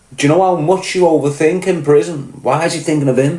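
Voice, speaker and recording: Noticeable background noise and audible room echo surround a man whose voice sits fairly high. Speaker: podcast host, former prisoner. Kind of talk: casual monologue commentary. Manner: pronounces words fully, finishes T's.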